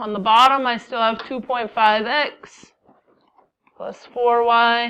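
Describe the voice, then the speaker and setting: A woman's bright, sharp, fairly high voice at a very slow pace. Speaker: math teacher. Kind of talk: classroom lecture.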